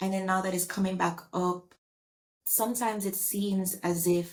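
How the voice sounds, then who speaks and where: A woman speaks at a fairly slow pace, somewhat breathy. Her pitch is medium, with ordinary variation. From Jamaica. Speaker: actor and writer. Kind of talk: interview conversation.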